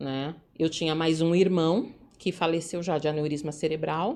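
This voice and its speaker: The voice is dark and mellow, with a São Paulo accent, and moves at a fairly slow pace. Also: woman. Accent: São Paulo Brazilian Portuguese. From São Paulo, Brazil (Jabaquara, south zone). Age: 40s. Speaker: entrepreneur in events business. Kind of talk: life story interview.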